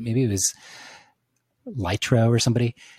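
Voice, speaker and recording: Speaking very fast in an American accent, a man uses a medium pitch. His tone is dark and mellow, and somewhat breathy. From central Virginia. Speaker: photographer podcast host. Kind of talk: casual chat. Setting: video call.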